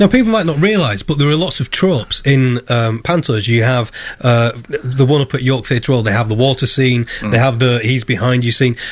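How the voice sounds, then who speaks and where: Speaking at a medium pitch with an unremarkable speaking voice, a man keeps his loudness very even, moves at a fairly quick pace with hardly any pauses, and uses ordinary pitch variation. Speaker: radio presenter. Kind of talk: radio interview questions.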